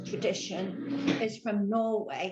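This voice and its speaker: Speaking very slowly, a woman with a British accent uses a fairly high pitch. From England. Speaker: church member. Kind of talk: interview.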